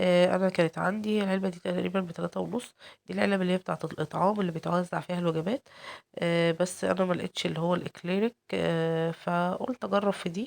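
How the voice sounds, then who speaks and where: A woman's fairly low voice at a fairly quick pace with an Egyptian accent, ordinary pitch variation and a dry, close sound with no echo. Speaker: cooking channel host. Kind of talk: cooking tutorial. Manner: hesitant, many fillers.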